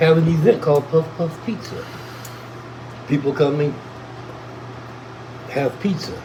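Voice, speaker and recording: With long, frequent pauses and noticeable background noise, a man talks at a moderate pace in a fairly high pitch with ordinary pitch variation. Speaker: cannabis livestreamer. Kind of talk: casual chat.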